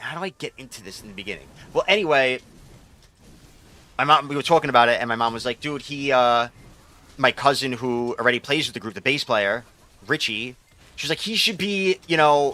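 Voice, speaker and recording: Using an American accent, a man of medium pitch speaks at a fairly quick pace with lively intonation, an animated, bright, sharp tone, big swings in loudness and long, frequent pauses. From New York. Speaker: video game streamer. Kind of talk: casual chat. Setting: live stream.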